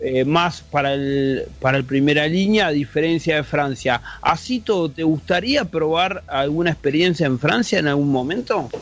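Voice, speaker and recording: A man speaks in an ordinary speaking voice at a fairly high pitch. He keeps a moderate pace with ordinary pitch variation and hardly any pauses. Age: 40s. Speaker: podcast co-host. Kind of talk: casual interview.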